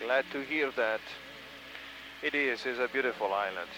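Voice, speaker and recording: Speaking at a moderate pace with an Italian accent, a man shows ordinary pitch variation over noticeable background noise. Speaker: helicopter tour pilot. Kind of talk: tour guide commentary.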